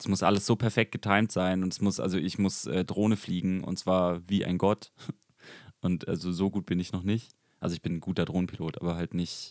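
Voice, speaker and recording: With a very deep, low pitch, a man talks at a fairly quick pace and fairly even intonation, in a dry, close sound with no echo. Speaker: podcast co-host and business owner. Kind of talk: casual chat.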